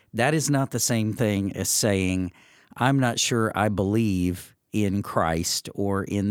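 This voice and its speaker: A man with an American accent, fairly low pitch, very slow pace and ordinary pitch variation, on a very clean recording with a silent background. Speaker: pastor. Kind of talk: casual chat. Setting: studio.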